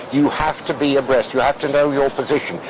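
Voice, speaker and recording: A man with a British accent at a fairly quick pace, over noticeable background noise. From Russia. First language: Russian. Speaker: former interpreter. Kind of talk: interview. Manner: hesitant, many fillers and repetitions.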